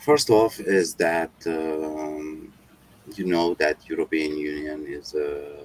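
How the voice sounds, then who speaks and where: The sound is dry and close with no echo. Noticeable background noise runs underneath. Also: man. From Romania. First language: not English. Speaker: construction company owner. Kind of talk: interview. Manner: halting.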